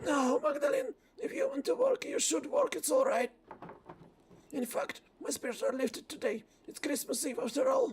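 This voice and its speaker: In a put-on character voice, a man speaks at a moderate pace, raspy and at an extremely high pitch. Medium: virtual streamer.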